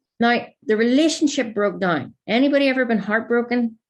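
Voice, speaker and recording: A somewhat breathy woman at fairly high pitch and moderate pace, over a quiet background. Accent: Northern Irish. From Northern Ireland. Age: 30s. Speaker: life coach. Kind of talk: masterclass talk to audience.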